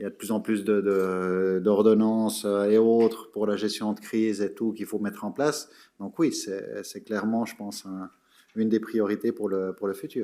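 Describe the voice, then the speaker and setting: A man speaks in a fairly low pitch with a dark, mellow tone, fairly even intonation and a moderate pace. The recording is very clean, with a silent background. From Switzerland, Geneva. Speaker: public official, conference speaker. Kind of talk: audience Q&A. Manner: halting, many repetitions.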